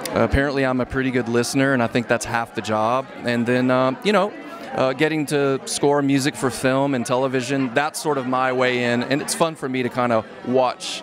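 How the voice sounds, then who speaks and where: Music plays in the background behind a man's voice. He talks at a moderate pace and medium pitch. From Nashville, Tennessee. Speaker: record producer and songwriter. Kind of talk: red carpet interview.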